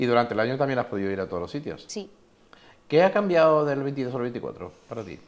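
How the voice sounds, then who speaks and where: A man speaks at a fairly quick pace, his pitch swinging very widely and his loudness rising and falling by big amounts. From Spain. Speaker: interviewer. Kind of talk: interview. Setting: falla clubhouse. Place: hall. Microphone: lapel.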